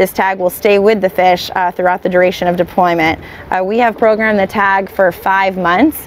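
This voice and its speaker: At a moderate pace, a woman speaks with fairly even intonation and very even loudness, in a dry sound with no echo and light background noise. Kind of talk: explanatory talk to camera. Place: boat. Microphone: lapel.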